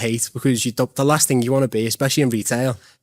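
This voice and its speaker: Speaking with a Liverpool accent at a very fast pace, a man uses a medium pitch in a very clean recording with a silent background and a dry, close sound with no echo. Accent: Liverpool (Scouse). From Liverpool, England. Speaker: real estate agent. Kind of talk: podcast interview. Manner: casual.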